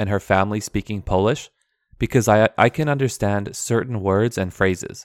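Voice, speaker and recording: A man with a Canadian accent speaks with a fairly low pitch and ordinary pitch variation, the sound dry and close with no echo and the background silent on a very clean recording. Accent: Canadian English, native. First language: Aramaic dialect. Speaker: podcast host, English teacher. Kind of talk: scripted-style monologue, educational podcast. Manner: clear, formal, measured.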